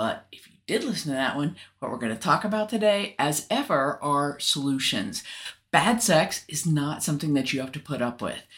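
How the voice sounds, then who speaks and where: Her pitch is very deep and low for a woman, with very wide swings, and her loudness rises and falls sharply at a moderate pace. The recording is very clean, the background silent. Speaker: podcast co-host. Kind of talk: casual educational podcast chat.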